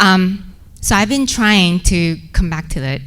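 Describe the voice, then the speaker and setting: A woman with a Korean accent, audible room echo around her voice. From South Korea. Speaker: research associate director. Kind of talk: personal storytelling to an audience. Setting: stage at a podium. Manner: halting, with many fillers.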